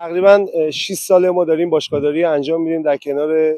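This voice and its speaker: A man's dark, mellow tone with fairly even intonation, dry and close with no echo. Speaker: football club owner and head coach. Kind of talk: interview statement. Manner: hesitant with frequent fillers.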